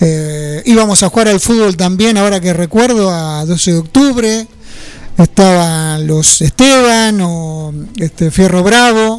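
The speech comes at a very slow pace with ordinary pitch variation. There is noticeable background noise. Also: man, high pitch for a man. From Buenos Aires province, Argentina (French, Nueve de Julio). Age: 60s. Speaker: former football player. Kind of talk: radio interview.

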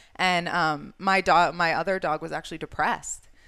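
Bright and sharp in tone, a woman speaks at a moderate pace on a very clean recording with a silent background. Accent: American. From New York state. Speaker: animal shelter marketing manager. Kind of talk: casual interview chat.

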